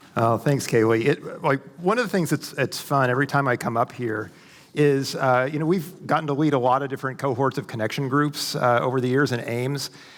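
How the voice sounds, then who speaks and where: Speaking at a fairly quick pace, a man has a fairly high pitch and ordinary pitch variation. His is an unremarkable speaking voice. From US Midwest, Ozarks of southwest Missouri. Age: 50s. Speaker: conference speaker, academic. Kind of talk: church conference talk. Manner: casual, many filler words.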